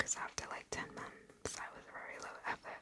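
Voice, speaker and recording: A woman speaks in a whisper. Background noise is noticeable. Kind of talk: ASMR whisper ramble, casual personal talk. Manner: whispered, soft-spoken.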